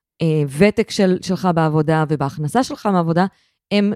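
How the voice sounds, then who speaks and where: With a normal speaking voice, a woman talks at a moderate pace with lively intonation over a very clean recording and a silent background. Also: dry, close sound with no echo. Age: 30s. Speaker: podcast co-host, social benefits expert. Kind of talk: casual chat. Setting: living room.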